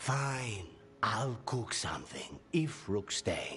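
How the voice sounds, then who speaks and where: A put-on character voice at a low-to-middle pitch speaks at a very slow pace over clear background noise. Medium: video game.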